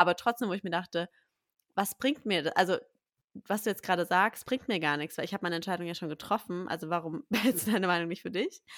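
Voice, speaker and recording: A woman talks at a very fast pace in a medium pitch with ordinary pitch variation. The sound is dry and close with no echo, on a very clean recording with a silent background. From Berlin. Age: 20s. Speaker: podcast host, café owner, mother. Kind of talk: casual chat.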